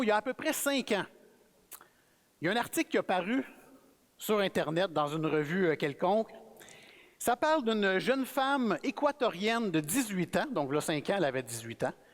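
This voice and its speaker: At a moderate pace, the speaker talks in a Quebec accent with very wide pitch swings and long, frequent pauses. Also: man. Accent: Québécois French. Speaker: guest preacher. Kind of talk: sermon. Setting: church. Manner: casual, conversational.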